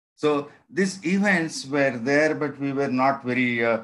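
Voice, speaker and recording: A man speaks with an Indian accent. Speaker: physics professor. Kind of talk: lecture. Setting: video call. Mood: calm storytelling. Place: home room. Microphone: webcam.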